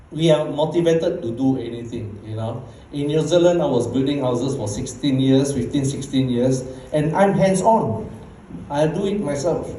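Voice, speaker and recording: A man with a Bruneian accent and a fairly high pitch speaks at a moderate pace with lively intonation. Audible room echo and noticeable background noise are present. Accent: Bruneian Malay English. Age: 60s. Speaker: network marketing leader. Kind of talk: motivational talk. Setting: stage with audience. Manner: casual.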